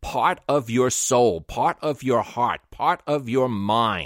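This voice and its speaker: A fairly slow delivery in a slight New York accent, dry and close with no echo, on a very clean recording with a silent background. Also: man. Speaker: podcast host and interviewer. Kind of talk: interview.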